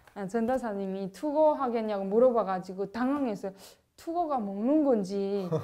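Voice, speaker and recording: Lively intonation carries this woman's fairly high, dark and mellow voice at a moderate pace. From North Korea. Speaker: North Korean defector. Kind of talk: casual chat. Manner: animated.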